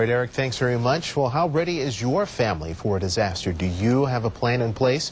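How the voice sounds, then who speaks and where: A man talking at a very fast pace with hardly any pauses, somewhat breathy, his loudness very even and his intonation lively. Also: medium pitch for a man. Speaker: television news anchor and reporter. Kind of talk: television newscast anchor delivery.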